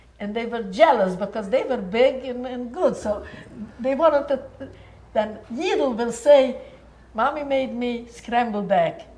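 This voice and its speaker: Over noticeable background noise and audible room echo, the speaker goes at a fairly slow pace, with big swings in loudness and ordinary pitch variation. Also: woman, high pitch for a woman. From Sighet, Romania (born Munkacs, Czechoslovakia). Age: 80s+. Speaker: Holocaust-era survivor recounting family history. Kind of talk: family interview, casual reminiscence.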